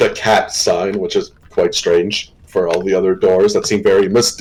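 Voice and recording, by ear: Someone reads the text aloud in a natural voice.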